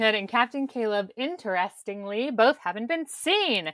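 A woman's bright, sharp, fairly high voice at a fairly slow pace, on a very clean recording with a silent background. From Kentucky. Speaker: podcast host. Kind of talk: casual chat.

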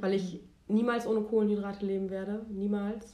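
A woman's dark, mellow voice at medium pitch, moderate pace and flat, monotone delivery, with audible room echo. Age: 20s. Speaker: podcast co-host. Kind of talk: casual chat.

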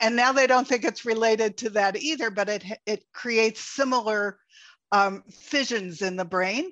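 Against a quiet background, a woman with a fairly high pitch speaks in a normal speaking voice at a fairly slow pace, with ordinary pitch variation. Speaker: podcast host. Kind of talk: interview conversation. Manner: warm, conversational.

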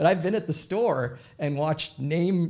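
A man's voice comes through somewhat breathy. The recording is very clean, with a silent background. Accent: American. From US Midwest, Minnesota. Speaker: comedy company CEO. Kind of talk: casual interview.

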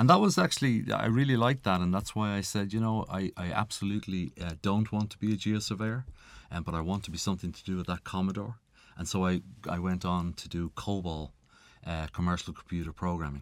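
A man with an Irish accent talks at a very fast pace in a very deep, low pitch. The pitch varies in an ordinary way, and the recording is very clean with a silent background. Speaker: tech entrepreneur. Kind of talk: interview. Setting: studio.

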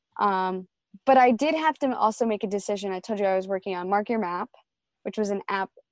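A woman with an American accent has an unremarkable speaking voice at medium pitch with ordinary pitch variation and a fairly quick pace. The sound is dry and close with no echo, over a quiet background. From New York. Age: 20s. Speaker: young entrepreneur. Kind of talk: casual interview chat.

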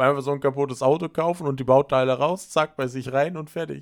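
The recording is very clean, with a silent background. A man with a fairly high pitch and fairly even intonation speaks at a very fast pace. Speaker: podcast host. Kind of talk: casual chat.

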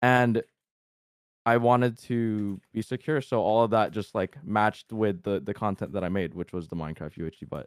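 A man speaks in an ordinary speaking voice at a moderate pace, his pitch fairly low with ordinary variation. The sound is dry and close, with no echo. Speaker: YouTuber and streamer. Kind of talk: casual chat.

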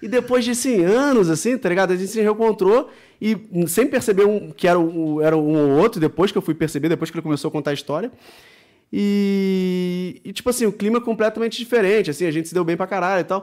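The recording is very clean, with a silent background. A man speaks at a high pitch and a very fast pace, with ordinary pitch variation. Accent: Rio de Janeiro. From Brazil, Rio de Janeiro. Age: 30s. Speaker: professional poker player. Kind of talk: casual chat. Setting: studio.

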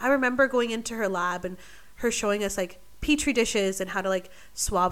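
In a Canadian accent, a woman talks at a fairly quick pace with a fairly high pitch and ordinary pitch variation. She has a normal speaking voice, and the recording is very clean with a silent background. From Vancouver, British Columbia, Canada. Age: 20s. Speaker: medical student. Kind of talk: casual chat.

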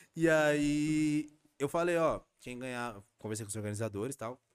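A man at a moderate pace, animated in tone, with ordinary pitch variation. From São Paulo, East Zone. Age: 30s. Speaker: rapper. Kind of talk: casual interview chat. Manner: animated, slangy.

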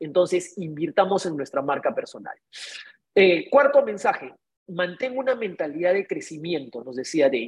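A woman's voice swings very widely in pitch and shifts a lot in loudness. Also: fairly low pitch for a woman, moderate pace. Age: 50s. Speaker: real estate broker and show host. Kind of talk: live online talk with audience. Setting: video call.

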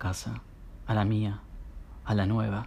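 In a Rioplatense accent, the speaker uses a calm tone at a moderate pace. The voice is somewhat breathy. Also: man. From Argentina, Buenos Aires area. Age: 30s. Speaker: storyteller. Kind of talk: personal narrative reading. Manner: calm, intimate.

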